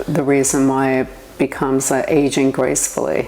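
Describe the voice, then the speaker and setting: Someone speaks with a New York accent. There is noticeable background noise. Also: woman. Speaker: entrepreneur. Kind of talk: interview.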